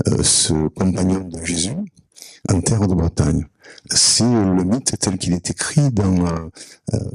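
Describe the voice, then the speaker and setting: Dry and close with no echo, a man with a Provençal accent speaks at a very slow pace in a very deep, low voice, with ordinary pitch variation and long, frequent pauses. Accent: Provençal southern French. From Provence, southern France. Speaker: audience member. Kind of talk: conference Q&A remark. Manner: halting, many hesitations.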